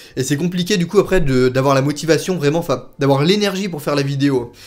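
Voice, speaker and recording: A man talks very fast in a fairly high pitch. The recording is very clean, with a silent background. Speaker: YouTuber, theme park vlogger. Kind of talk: casual Q&A vlog. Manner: spontaneous, many hesitations.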